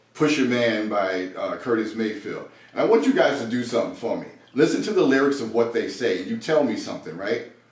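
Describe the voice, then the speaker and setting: A man's speech carries audible room echo, with noticeable background noise behind it. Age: 60s. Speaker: podcast co-host. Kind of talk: casual chat.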